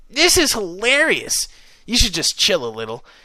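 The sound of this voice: This man uses a put-on character voice, pitched high with a bright, sharp tone and very wide pitch swings. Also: moderate pace.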